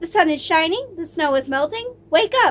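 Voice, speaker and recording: The speaker holds a put-on character voice at a moderate pace. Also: woman. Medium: read story.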